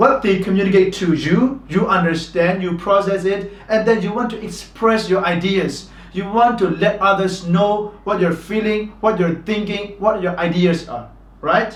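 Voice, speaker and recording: A man with a Burmese accent, high-pitched for a man, at a moderate pace with fairly even intonation, noticeable background noise and audible room echo. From Myanmar. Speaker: English teacher. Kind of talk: tutorial.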